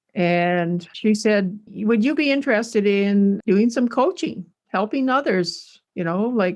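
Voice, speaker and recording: Against a quiet background, a woman with a western Canadian accent speaks at a very slow pace and a medium pitch. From Canada, Alberta. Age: 60s. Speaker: rancher and home cook. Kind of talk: casual storytelling. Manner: halting, with fillers.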